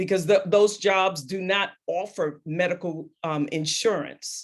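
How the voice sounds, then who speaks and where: With an American accent, a woman speaks in an ordinary speaking voice at medium pitch, fairly slowly, with ordinary pitch variation. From New York City (Queens). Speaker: discussion moderator. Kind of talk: virtual group discussion. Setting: video call.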